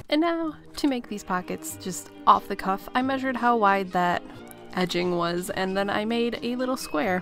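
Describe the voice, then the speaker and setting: With music in the background, a woman speaks at a moderate pace. Her pitch is medium and her intonation lively. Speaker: sewing content creator. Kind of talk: casual sewing vlog voice-over.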